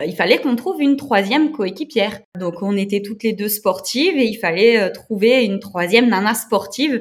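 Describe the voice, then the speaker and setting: A woman with fairly high pitch, ordinary pitch variation and a moderate pace. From eastern France, Moselle. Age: 30s. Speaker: amateur adventure racer. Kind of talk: interview. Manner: hesitant, many fillers.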